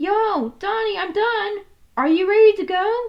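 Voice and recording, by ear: A woman uses a put-on character voice at an extremely high pitch with vocal fry. She speaks at a fairly slow pace with ordinary pitch variation.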